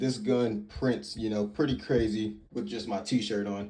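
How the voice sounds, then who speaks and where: A man with a dark, mellow tone speaks fairly slowly at a fairly low pitch, with ordinary pitch variation. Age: 20s. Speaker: firearms reviewer. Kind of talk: product review. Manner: halting, many fillers; casual.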